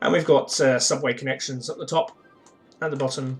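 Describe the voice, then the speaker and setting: A man speaks in a relaxed tone with a British accent and fairly even intonation. Music plays in the background. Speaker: gaming streamer. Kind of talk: live gameplay commentary. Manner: relaxed, with filler uhs.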